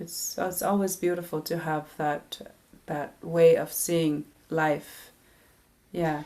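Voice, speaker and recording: A woman with a Canadian Arctic accent, very slow pace and long, frequent pauses, in a fairly low pitch with monotone, flat intonation and a dark, mellow tone. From Nunavik, northern Quebec, Canada. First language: Inuktitut. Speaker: singer-songwriter. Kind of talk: interview. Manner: halting, many fillers and restarts.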